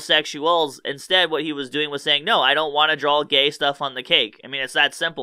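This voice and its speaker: Fairly quick, fairly even speech from a man over a quiet background. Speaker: online commentator. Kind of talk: commentary. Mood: mocking, amused. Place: studio. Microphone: studio mic.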